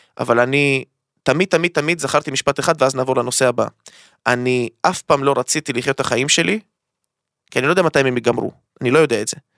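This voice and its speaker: Bright and sharp in tone, a man's fairly high-pitched voice races at a very fast pace with ordinary pitch variation, the sound dry and close with no echo. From Israel (Ashdod). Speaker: crypto trading academy founder. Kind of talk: casual chat. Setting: studio. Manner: animated.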